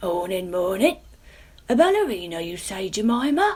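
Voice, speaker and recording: A woman performs a put-on character voice at a medium pitch. Her intonation is lively. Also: moderate pace. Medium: read story.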